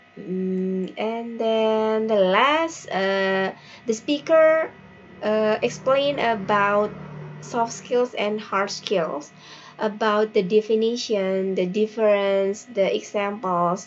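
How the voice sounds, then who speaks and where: Someone speaks very slowly in an Indonesian accent. Music plays in the background. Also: woman, fairly high pitch for a woman, ordinary pitch variation. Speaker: teacher. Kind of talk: workshop reflection report. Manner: halting with fillers.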